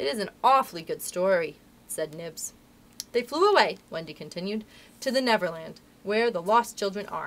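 Lively intonation in a natural reading voice

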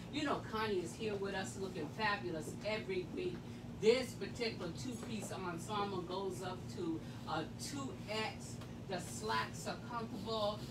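Loud background noise behind a woman speaking at a moderate speed. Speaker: boutique host. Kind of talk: live sales show commentary. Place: shop.

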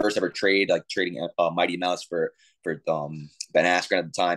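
Against a quiet background, a man with an American accent speaks in a very deep, low voice with flat, monotone intonation. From New York. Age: 30s. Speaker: professional MMA fighter. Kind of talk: interview. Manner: casual, repeats words. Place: home room. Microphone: video call.

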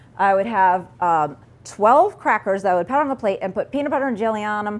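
A woman talks at a fairly quick pace. Her intonation is lively. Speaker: presenter. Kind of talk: lecture.

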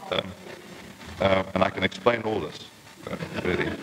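Through noticeable background noise comes a man's fairly low voice with fairly even intonation. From Transkei, South Africa. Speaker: journalist. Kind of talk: lecture to a society. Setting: old archived tape, poor condition.

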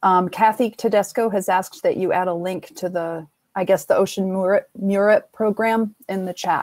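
A woman with a normal speaking voice, medium in pitch, at a moderate pace with hardly any pauses and fairly even intonation. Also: dry, close sound with no echo. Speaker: workshop moderator. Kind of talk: moderating online workshop. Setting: video call.

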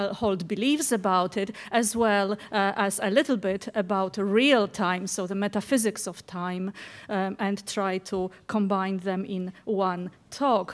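A woman talking at a fairly slow pace with ordinary pitch variation. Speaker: keynote speaker, professor. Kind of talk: lecture. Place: hall.

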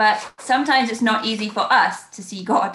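A woman's bright, sharp voice with an English accent at a fairly slow pace, with audible room echo. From England. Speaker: church minister. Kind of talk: sermon. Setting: video call. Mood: calm, warm, reflective. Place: home room. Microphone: webcam.

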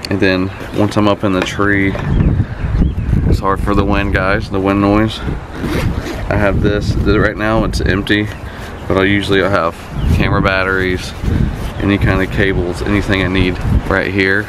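Loud background noise sits behind a man who talks at a moderate pace with long, frequent pauses. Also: dry sound with no echo. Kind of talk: casual gear walkthrough. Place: street. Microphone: camera far.

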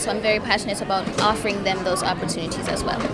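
A woman talks at a very fast pace while loud noise fills the background. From Jamaica. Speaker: beauty pageant contestant. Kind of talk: interview answer. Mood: warm, upbeat. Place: hall. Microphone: handheld.

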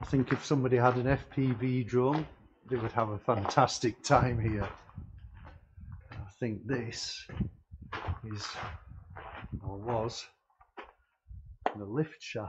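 Slow, fairly even speech from a man at a medium pitch, with long, frequent pauses.

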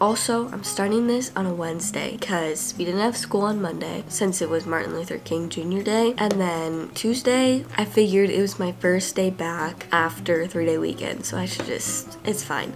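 A woman's fairly low voice at a moderate pace, with hardly any pauses, over noticeable background noise. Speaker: vlogger. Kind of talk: casual vlog chat. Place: home room. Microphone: phone near.

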